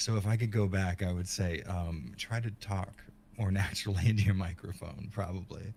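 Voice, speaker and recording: Somewhat breathy and fairly low-pitched, a man speaks with an American accent at a moderate pace and with fairly even intonation. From South Florida. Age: 40s. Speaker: horror video essayist. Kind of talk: interview. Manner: halting.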